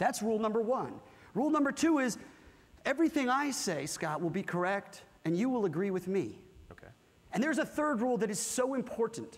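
Animated in tone, a man with an American accent talks at a fairly quick pace and an extremely high pitch, with lively intonation and long, frequent pauses. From California. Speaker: corporate workshop presenter. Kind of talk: interactive workshop talk with audience. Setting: stage with live audience. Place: hall. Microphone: lapel.

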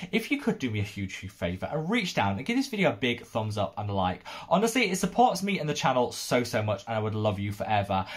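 A somewhat breathy man speaks at a very fast pace with hardly any pauses. His pitch swings very widely. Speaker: skincare youtuber. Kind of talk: casual vlog commentary. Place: home room.

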